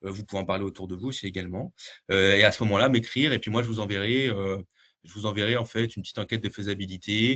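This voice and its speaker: A man at a fairly low pitch, talking at a very fast pace with fairly even intonation. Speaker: dietitian presenting a research project. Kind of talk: webinar presentation; Q&A answer. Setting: video call webinar. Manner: hesitant, many fillers.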